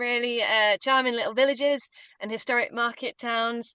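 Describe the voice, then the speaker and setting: A woman speaks in a northern English accent with a high, bright and sharp voice. She projects it at a moderate pace with fairly even intonation. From northern England. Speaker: walking tour guide. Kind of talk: webinar presentation.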